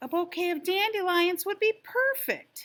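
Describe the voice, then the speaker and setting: A put-on character voice bellows at an extremely high, squeaky pitch. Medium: read story.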